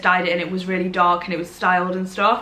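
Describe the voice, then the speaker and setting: Over noticeable background noise and audible room echo, a woman with a Derbyshire accent speaks at a medium pitch. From Derbyshire, England. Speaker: social media creator. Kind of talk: casual chat to camera. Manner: chatty, rambling with fillers.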